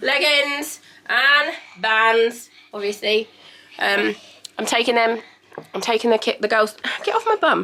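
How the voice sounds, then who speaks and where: The speaker talks with an English accent and long, frequent pauses. Background noise is noticeable. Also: woman, fairly high pitch for a woman, ordinary pitch variation, fairly slow pace. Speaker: vlogger. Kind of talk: casual vlog chat. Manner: animated.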